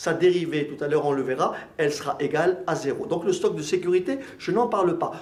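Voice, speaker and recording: A man speaks with ordinary pitch variation, and the room echo is audible. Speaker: accounting and management teacher. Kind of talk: lecture.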